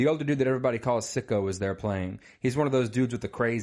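A natural reading voice carries the whole clip.

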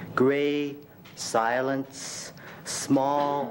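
A man speaks in a fairly high voice over light background noise. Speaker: poet. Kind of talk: poet reading own poems aloud at a live reading. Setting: stage with audience at a university reading. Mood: expressive, emotional delivery. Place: classroom. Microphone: podium.

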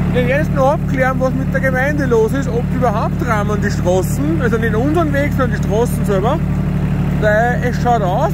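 The speech comes at a moderate pace over loud background noise, with a dry sound and no echo. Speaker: tractor driver, channel host. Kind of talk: casual vlog commentary. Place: farm machine. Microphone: phone near.

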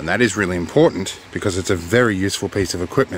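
A man's fairly quick, fairly low-pitched delivery in an ordinary speaking voice, with ordinary pitch variation, a dry sound with no echo, and light background noise. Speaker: product reviewer. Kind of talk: casual vlog chat. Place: car. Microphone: phone near.

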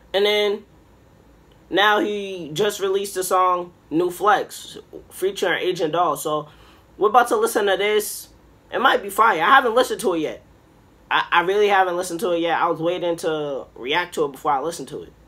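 Using a raised, projected voice, a man speaks at a moderate pace broken by long, frequent pauses. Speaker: reaction video host. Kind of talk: casual reaction vlog chat. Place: home room. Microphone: webcam.

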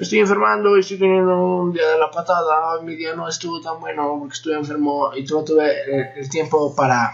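The loudness swings widely, with hardly any pauses. Pitch variation is ordinary. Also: man, fairly quick pace. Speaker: vlogger reacting to a video. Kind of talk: casual reaction vlog chat. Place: home room. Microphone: webcam.

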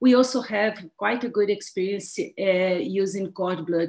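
A woman with a Brazilian accent talks very slowly at a medium pitch. Her intonation is lively, and the background is quiet. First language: Portuguese. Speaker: pediatric transplant physician and professor; medical professor presenting. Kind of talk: lecture. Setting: webinar. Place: home room.

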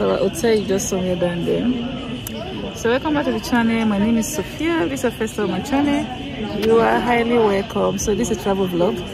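A woman at a fairly quick pace, the sound dry with no echo, music in the background. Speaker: travel vlogger. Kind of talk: casual vlog chat. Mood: relaxed, cheerful. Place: street. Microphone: phone near.

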